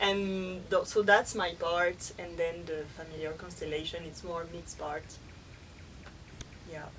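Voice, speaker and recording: In a French accent, a woman with a fairly low pitch speaks at a fairly slow pace, with monotone, flat intonation and long, frequent pauses. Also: big swings in loudness. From France. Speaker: workshop facilitator. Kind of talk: interview. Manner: halting.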